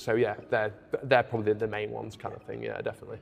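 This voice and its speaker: Music runs behind the track. A man's voice sits fairly low. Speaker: clothing brand co-owner. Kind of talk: casual chat. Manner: loud.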